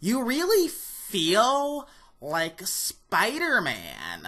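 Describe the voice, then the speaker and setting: It is a put-on character voice with a fairly high pitch. The pace is very slow. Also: female-sounding voice. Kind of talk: review presenter delivery.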